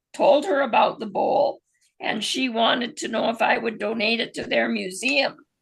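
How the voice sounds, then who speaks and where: Fairly slow and marked by vocal fry, a woman's fairly high voice moves with lively intonation. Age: 70s. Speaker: class participant. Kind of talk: casual chat.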